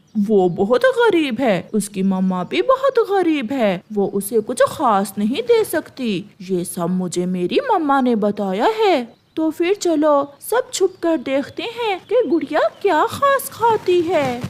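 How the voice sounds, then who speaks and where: A put-on, female-sounding character voice at a high pitch runs sing-song with very wide pitch swings at a fairly slow pace, with hardly any pauses. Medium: cartoon. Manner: taunting, sing-song.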